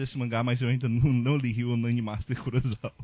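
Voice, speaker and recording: A somewhat breathy voice belongs to a man. He keeps a fairly quick pace. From Ceará, Brazil. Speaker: podcast host. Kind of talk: casual chat.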